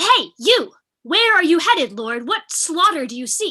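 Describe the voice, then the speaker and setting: A put-on character voice sits at an extremely high pitch, with very wide pitch swings. The pace is moderate. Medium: stage play. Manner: firm, level-headed.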